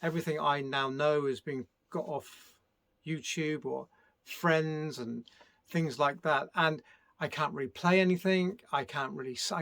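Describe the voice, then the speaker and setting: A man with a British accent, fairly high in pitch and bright, sharp in tone, at a moderate pace with ordinary pitch variation. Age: 60s. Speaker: music producer. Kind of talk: casual vlog monologue. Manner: hesitant, many fillers.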